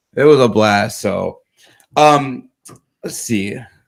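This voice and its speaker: A man mumbles his words. He has an American accent. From Chicago. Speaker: podcast host. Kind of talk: casual interview chat. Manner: mumbling.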